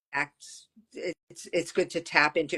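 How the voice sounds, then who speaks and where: This is a woman with an ordinary speaking voice. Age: 60s. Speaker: ADHD coach. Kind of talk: casual chat.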